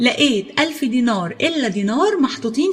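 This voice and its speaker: Someone with an Egyptian accent speaks at a fairly slow pace against noticeable background noise. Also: woman. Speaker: storyteller. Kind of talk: children's folk tale narration.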